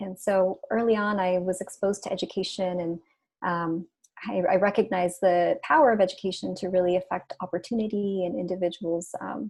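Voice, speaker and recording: A woman with a normal speaking voice talks at a moderate pace, her medium pitch showing ordinary variation. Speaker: policy consultant. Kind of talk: panel discussion.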